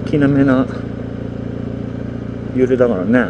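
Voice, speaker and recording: The speech moves at a moderate pace. There is noticeable background noise. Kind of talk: casual vlog chat. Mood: relaxed, joking. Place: motorbike.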